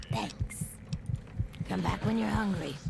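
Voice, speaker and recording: A low-pitched, put-on character voice carries the lines. Loud background noise runs underneath. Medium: video game. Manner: casual, folksy, calls people hun.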